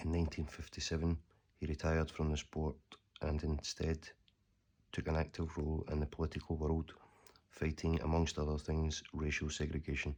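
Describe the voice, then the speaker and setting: Soft-spoken and very even in loudness, a man with a Scottish accent talks at a moderate pace in a very deep, low pitch with monotone, flat intonation. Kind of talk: ASMR letter reading.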